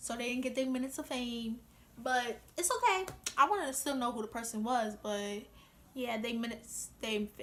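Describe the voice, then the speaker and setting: Amid noticeable background noise, a woman with a New York accent speaks in an animated tone at a high pitch with ordinary pitch variation. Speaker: vlogger. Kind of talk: casual vlog monologue. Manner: fast.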